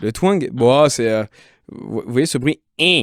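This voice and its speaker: With lively intonation, a man is heard on a very clean recording with a silent background and a dry, close sound with no echo. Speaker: singer and vocal coach. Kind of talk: casual interview with vocal exercises. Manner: animated.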